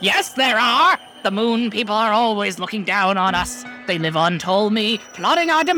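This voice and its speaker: In a loud, high put-on character voice, a man speaks at a moderate pace over clear background noise. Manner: eccentric.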